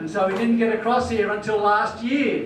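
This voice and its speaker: With an Australian accent, a man speaks at a high pitch with fairly even intonation, through audible room echo and noticeable background noise. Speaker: natural health doctor. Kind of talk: conference talk.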